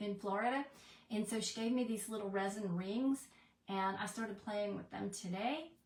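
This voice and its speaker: Noticeable background noise sits behind a woman speaking at a moderate pace. Her pitch is medium, and her intonation is fairly even. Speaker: crafter. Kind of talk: live craft tutorial. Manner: mumbling; chatty.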